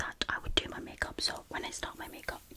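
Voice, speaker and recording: Whispering from a woman, noticeable background noise behind it. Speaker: ASMR YouTuber. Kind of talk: casual talk to camera, ASMR collection video. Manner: casual, rambling, friendly.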